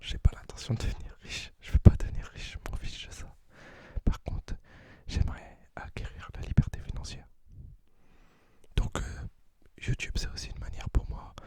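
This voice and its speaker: A man whispers with big swings in loudness. Long, frequent pauses run through his speech. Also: moderate pace. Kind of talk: ASMR talk to camera. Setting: close to the microphone. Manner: whispered.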